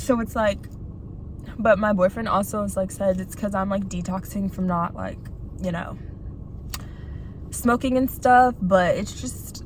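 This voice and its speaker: A woman talks at a fairly slow pace with ordinary pitch variation, leaving long, frequent pauses. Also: medium pitch for a woman. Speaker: video blogger. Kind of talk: casual monologue while eating. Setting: in a car in a parking lot. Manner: soft-spoken; halting, lots of fillers.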